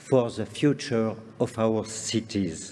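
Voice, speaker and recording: A man's dark, mellow voice at a very slow pace, with a strong French accent. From France, Lake Geneva shore. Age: 60s. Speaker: conference speaker on parks and gardens. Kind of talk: lecture. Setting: stage with audience. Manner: formal.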